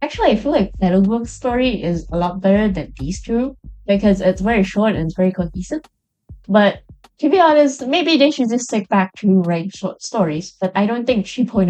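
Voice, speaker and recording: A woman's medium-pitched voice with lively intonation at a fairly quick pace, music playing in the background. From Chinese background. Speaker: game reviewer YouTuber. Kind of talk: casual video review. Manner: rambling, hesitant.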